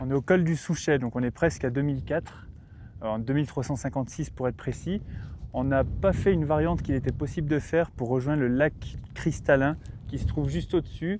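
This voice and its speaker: With ordinary pitch variation, an unremarkable speaking voice talks at a fairly quick pace. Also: man, fairly high pitch for a man. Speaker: hiking vlogger. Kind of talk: vlog commentary. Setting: outdoors on mountain trail.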